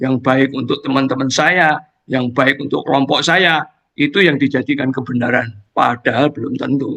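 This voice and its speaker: The man talks at a medium pitch and a moderate pace. His intonation is fairly even. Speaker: lay preacher sharing testimony. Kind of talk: Bible sharing in online fellowship. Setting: Zoom video call. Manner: casual, hesitant with fillers.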